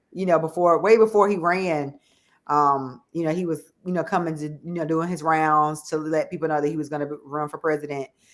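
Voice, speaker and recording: Speaking at a fairly quick pace with a Southern US accent, a woman's very deep, low voice carries an animated tone. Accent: country Southern. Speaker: show host. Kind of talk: interview chat.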